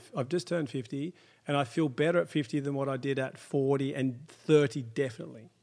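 In a very clean recording with a silent background, a man with a plain, everyday voice speaks at a fairly high pitch and a fairly quick pace. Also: ordinary pitch variation. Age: 50s. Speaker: chiropractor. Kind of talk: interview.

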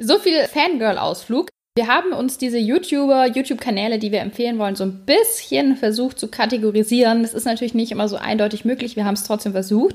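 A woman speaks very fast at a fairly high pitch, with hardly any pauses. Her intonation is lively. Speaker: podcast co-host. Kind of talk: casual chat.

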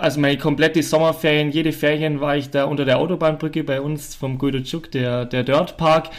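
A man with a fairly high pitch, a fairly quick pace, hardly any pauses, and monotone, flat intonation. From Allgäu, Bavaria/Swabia, southern Germany. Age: 20s. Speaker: professional mountain biker. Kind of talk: casual interview chat. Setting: on-site recording at a farm. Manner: quiet, soft-spoken.

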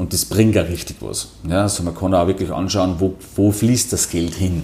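In a Salzburg accent, a man speaks at a very deep, low pitch with a dark, mellow tone, somewhat breathy, at a moderate pace with ordinary pitch variation. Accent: Salzburg Austrian German. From Austria, Salzburg (Pongau, near Werfen). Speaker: financial services executive. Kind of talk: interview. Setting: office.

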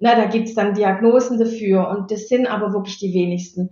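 A woman talks in a somewhat breathy voice with fairly even intonation. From Stuttgart area, Swabia (Baden-Württemberg). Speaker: anti-bullying mentor. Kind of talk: interview.

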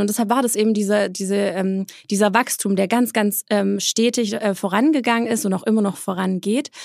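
On a very clean recording with a silent background, a woman with a plain, everyday voice speaks at a fairly quick pace, fairly high in pitch and with fairly even intonation. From Swabia, southern Germany (Eislingen near Stuttgart). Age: 30s. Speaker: entrepreneur and influencer. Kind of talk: interview.

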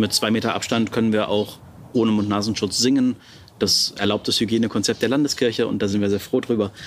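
A man with a medium pitch speaks in a plain, everyday voice. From Brandenburg, Germany. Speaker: pastor. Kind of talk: interview.

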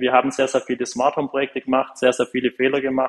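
A man is talking here. His voice has a medium pitch. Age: 20s. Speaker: smart home company founder. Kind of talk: interview.

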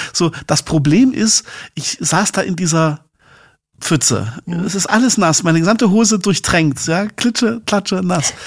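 The intonation is lively. It comes from a man with a high pitch. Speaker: podcast co-host. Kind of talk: casual chat. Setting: remote recording.

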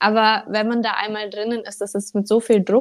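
A woman speaks in a fairly high pitch. Hers is a plain, everyday voice. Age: 20s. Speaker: social media coach. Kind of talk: casual interview chat.

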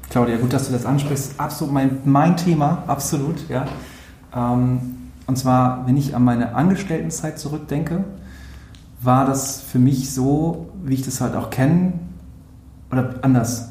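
A man's medium-pitched voice at a fairly slow pace, with ordinary pitch variation and long, frequent pauses, amid audible room echo and noticeable background noise. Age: 30s. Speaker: social media agency owner. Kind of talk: interview. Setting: office.

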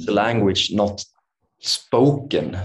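A man with a Swedish accent talks at a fairly low pitch, somewhat breathy, with ordinary pitch variation. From Sweden. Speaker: meditation and yoga teacher. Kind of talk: interview conversation. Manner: halting.

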